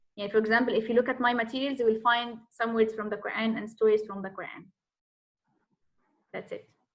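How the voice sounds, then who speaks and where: A woman with an Egyptian accent, a fairly high pitch and monotone, flat intonation. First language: Arabic. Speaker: Arabic teacher. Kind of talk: self-introduction in online class Q&A. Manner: halting, many fillers.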